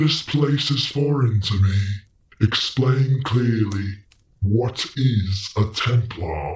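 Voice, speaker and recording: Using a put-on character voice, a man speaks at a medium pitch. His pace is very slow. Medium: read story. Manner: cold, measured, imperious.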